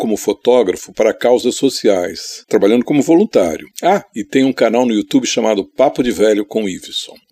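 A man speaks at a moderate pace. The recording sounds dry and close, with no echo. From Brazil, São Paulo city. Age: 60s. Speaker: photographer. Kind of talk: interview.

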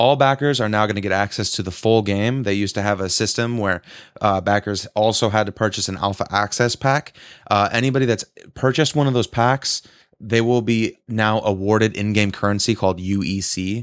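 A man's plain, everyday voice at a fairly low pitch and fairly quick pace, with fairly even intonation on a very clean recording with a silent background. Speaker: podcast co-host. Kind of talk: casual chat. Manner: playful, joking.

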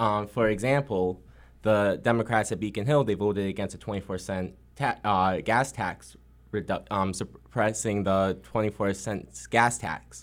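A man with an American accent uses a normal speaking voice, fairly low in pitch with ordinary pitch variation, at a fairly slow pace in a very clean recording with a silent background. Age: 20s. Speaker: political candidate. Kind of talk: radio interview. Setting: studio.

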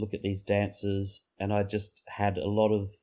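Dark, mellow tone in an Australian accent, monotone and flat, on a very clean recording with a silent background. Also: man. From rural Victoria, Australia (Mildura). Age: 50s. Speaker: dancer and choreographer. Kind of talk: interview. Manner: talkative.

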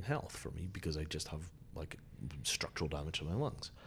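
Somewhat breathy, a man speaks with a very deep, low pitch. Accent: Scottish. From Scotland. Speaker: engineer and futurist. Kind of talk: casual chat.

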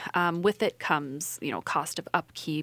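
The recording of this woman, who has a very deep, low pitch and an American accent, is very clean with a silent background and a dry, close sound with no echo. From Iowa. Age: 30s. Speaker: lawyer. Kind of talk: radio interview.

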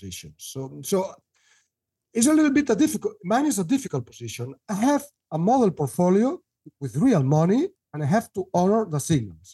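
Speaking in a Spanish accent at a moderate pace, a man has a dark, mellow tone and very wide pitch swings. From Spain. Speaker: newsletter editor, market analyst. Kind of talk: interview.

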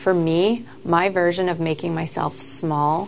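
A woman in a Canadian accent, very deep and low in pitch, with music in the background. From Canada. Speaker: invited speaker, mother and philanthropist. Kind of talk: prepared faith talk. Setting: recorded video.

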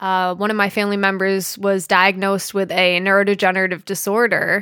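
A woman speaks in a plain, everyday voice at medium pitch and a moderate pace, on a very clean recording with a silent background. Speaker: medical student podcast co-host. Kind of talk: casual educational chat.

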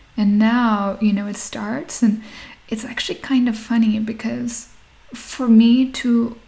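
Fairly high-pitched speech from a woman at a fairly slow pace, over noticeable background noise. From Nigeria, Lagos, Indian Sindhi family, later Canada. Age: 30s. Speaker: entrepreneur, founder of a natural foods company. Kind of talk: interview. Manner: casual, many filler words.

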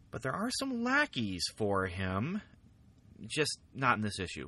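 A man talks fairly slowly against a quiet background. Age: 40s. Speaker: podcast host. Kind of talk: solo comic book review.

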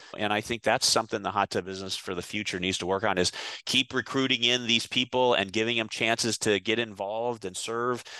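Against a quiet background, a man talks at a fairly quick pace with a fairly low pitch, a bright, sharp tone and monotone, flat intonation, the sound dry and close with no echo. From southern California. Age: 60s. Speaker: retired hot tub industry executive. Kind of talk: interview.

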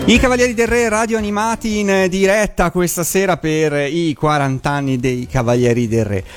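The speaker moves at a moderate pace with very wide pitch swings and hardly any pauses, over noticeable background noise. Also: man, high pitch for a man. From Italy, Florence. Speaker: radio host. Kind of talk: live radio interview. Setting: remote call.

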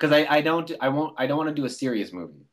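In a Canadian accent, a normal speaking voice moves with ordinary pitch variation. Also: man, quiet background. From Canada. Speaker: comedian and playwright. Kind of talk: casual chat.

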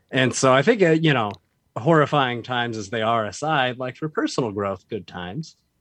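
An unremarkable speaking voice from a man, medium in pitch, at a moderate pace with lively intonation. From Boise, Idaho. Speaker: comedian. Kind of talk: casual chat. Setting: video call.

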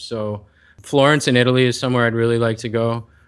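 Against a quiet background, a man of medium pitch talks at a fairly quick pace in an unremarkable speaking voice. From US Midwest, Chicago. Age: 30s. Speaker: health coach. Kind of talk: casual interview.

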